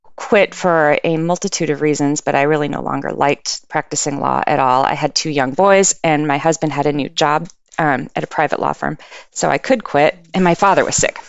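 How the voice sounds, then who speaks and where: Using an American accent, a woman speaks at a fairly quick pace with a very deep, low pitch, vocal fry and ordinary pitch variation. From US West Coast, San Francisco East Bay. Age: 50s. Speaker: election integrity advocate, former lawyer. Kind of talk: interview. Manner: hesitant, many fillers.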